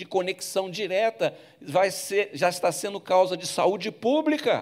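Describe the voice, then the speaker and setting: A man's lively intonation carries speech that moves fairly slowly. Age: 70s. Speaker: bishop preaching. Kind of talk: sermon. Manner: halting.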